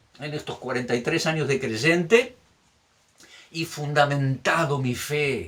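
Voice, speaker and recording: A man's fairly high, bright, sharp voice with ordinary pitch variation. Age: 60s. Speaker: pastor. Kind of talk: sermon. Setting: recorded video message.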